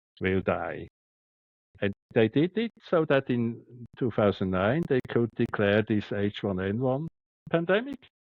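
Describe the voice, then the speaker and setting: A man's medium-pitched voice in a strong Swiss German accent, at a fairly slow pace with lively intonation. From Switzerland. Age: 60s. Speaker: doctor. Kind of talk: interview. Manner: halting, repeats words.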